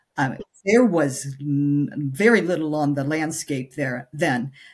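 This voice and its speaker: A somewhat breathy voice speaks at a very slow pace, its pitch swinging very widely. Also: woman. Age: 60s. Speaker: menopause nutrition coach. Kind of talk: podcast interview. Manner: halting, many fillers.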